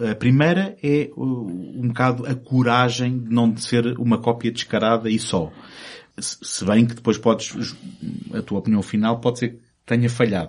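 This man has an unremarkable speaking voice, medium in pitch with ordinary pitch variation, and talks at a moderate pace. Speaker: film podcast host. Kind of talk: casual chat.

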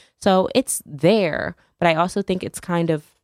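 Music plays in the background. A woman speaks with an American accent. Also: dry, close sound with no echo. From US Northeast, New Haven, Connecticut. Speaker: nonprofit founder. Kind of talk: radio interview.

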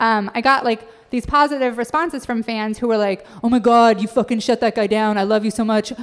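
A woman with an unremarkable speaking voice and an American accent talks at a fairly quick pace and fairly high pitch, with fairly even intonation and hardly any pauses. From Idaho. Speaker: comedian and author. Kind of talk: casual chat. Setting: stage with audience.

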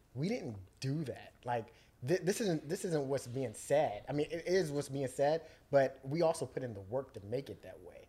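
Somewhat breathy and dark, mellow in tone, a man with a fairly high pitch speaks at a moderate pace, using lively intonation and big swings in loudness. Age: 30s. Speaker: podcast host. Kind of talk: casual chat.

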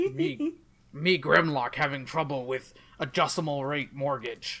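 A man puts on a character voice with a fairly high pitch. He goes at a fairly slow pace on a very clean recording with a silent background. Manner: dim, broken third-person speech.

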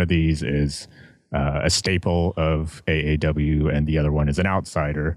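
A man with a very deep, low pitch speaks in a flat monotone, recorded very cleanly with a silent background. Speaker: wrestling fan guest. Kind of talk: casual chat.

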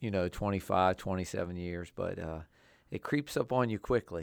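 At a moderate pace and with ordinary pitch variation, a man with an American accent and a very deep, low pitch speaks on a very clean recording with a silent background. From Southern Maryland, US (Waldorf, Charles County). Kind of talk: casual interview.

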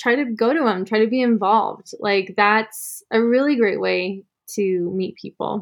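Speaking in an ordinary speaking voice, a woman has an American accent. Her pace is moderate, and her pitch varies in an ordinary way. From Arizona, Sedona. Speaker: photographer and yoga instructor. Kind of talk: casual interview.

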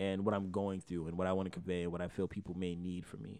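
Very deep, low-pitched male voice over a quiet background. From Miami, Florida. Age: 20s. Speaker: rapper. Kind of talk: casual interview.

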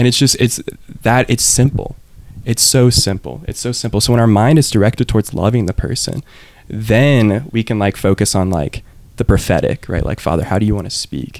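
Fairly quick, medium-pitched male speech with ordinary pitch variation. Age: 30s. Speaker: religious brother and missionary. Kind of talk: casual chat. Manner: animated.

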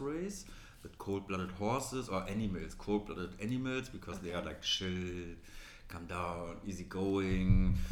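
Pitch varies in an ordinary way at a moderate pace. The delivery comes in a plain, everyday voice. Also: man. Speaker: magazine co-founder. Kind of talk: casual interview chat.

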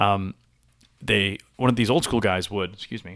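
In a very clean recording with a silent background, a man with an American accent talks at a fairly low pitch. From US Northeast (Boston). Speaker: actor and improviser. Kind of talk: casual chat. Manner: energetic.

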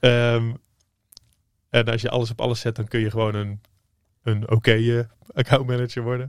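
The sound is dry and close, with no echo. The intonation stays monotone and flat. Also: man. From Netherlands, various towns, pastor's son. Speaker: entrepreneur, former copywriter. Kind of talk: interview. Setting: studio.

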